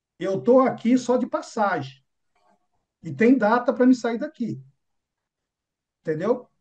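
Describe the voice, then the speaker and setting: With long, frequent pauses, a man speaks in an extremely high voice and lively intonation. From São Paulo, Brazil. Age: 50s. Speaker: business mentor. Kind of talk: motivational talk. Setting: room with audience.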